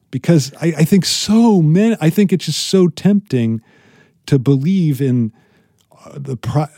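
Dark, mellow tone with lively intonation and some breathiness, fairly slow in pace, dry and close with no echo. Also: man. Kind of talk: casual chat.

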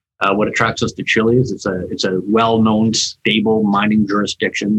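The man's voice is fairly low in pitch, with monotone, flat intonation at a moderate pace. The sound is dry and close, with no echo. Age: 50s. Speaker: mining company executive. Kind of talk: interview. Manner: halting, many fillers.

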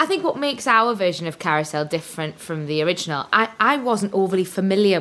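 Very fast and with very wide pitch swings, a woman with a medium pitch speaks in a Welsh accent. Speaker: musical theatre performer. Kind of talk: casual interview chat.

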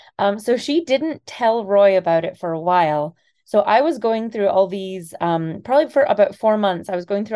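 With a slight Scottish accent, a woman speaks in a dark, mellow tone with lively intonation. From Scotland. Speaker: kidney donor. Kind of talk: interview.

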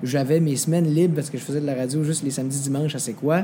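A man's fairly high voice at a very fast pace, ordinary pitch variation, noticeable background noise. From Quebec, Mauricie village. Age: 20s. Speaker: singer and TV/radio host. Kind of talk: interview. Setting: restaurant.

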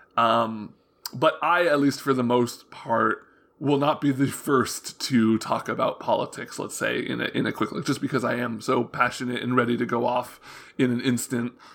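Talking at a moderate pace, a man keeps a middle pitch and fairly even intonation. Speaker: games journalist. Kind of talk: casual interview chat.

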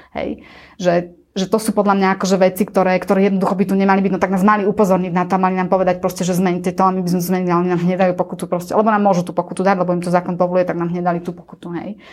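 Over noticeable background noise, a woman at medium pitch races along at a very fast pace in a flat monotone, hardly pausing at all. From central Slovakia, near Banská Štiavnica. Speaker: travel agency owner and CEO. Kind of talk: interview.

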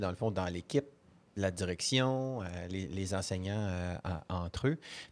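A man speaks at a fairly slow pace in a plain, everyday voice with fairly low pitch. The recording is very clean, with a silent background. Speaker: podcast host. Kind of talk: interview. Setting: conference, around a table with mics.

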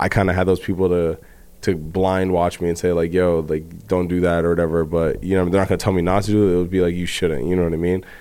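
A man speaks very fast at a very deep, low pitch, in a monotone, flat intonation with very even loudness. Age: 20s. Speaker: guest co-host. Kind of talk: casual chat.

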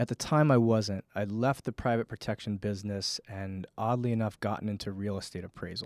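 An American-accented man with an unremarkable speaking voice and fairly low pitch talks at a fairly quick pace with hardly any pauses, in a dry, close sound with no echo and a very clean recording with a silent background. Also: fairly even intonation. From Connecticut. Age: 30s. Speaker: fitness and wellness coach. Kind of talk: casual interview. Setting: studio.

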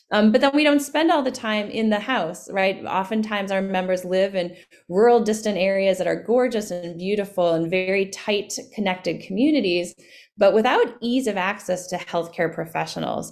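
A woman with an American accent and a plain, everyday voice, moderate pace, ordinary pitch variation, on a very clean recording with a silent background. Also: medium pitch for a woman. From US Midwest, Winona, Minnesota. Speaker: physician and healthcare company CEO. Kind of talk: interview.

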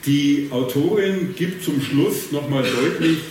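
Amid noticeable background noise and audible room echo, a man with a strong Bavarian accent talks at a fairly high pitch with ordinary pitch variation. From Bavaria, rural. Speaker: moderator and social researcher. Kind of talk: panel discussion. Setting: theatre stage with audience.

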